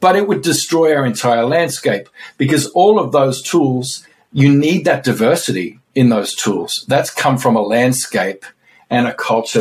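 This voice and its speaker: Speaking at a moderate pace with an Australian accent, a man uses a fairly high, somewhat breathy voice with very wide pitch swings. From remote Australia. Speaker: author. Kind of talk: casual chat.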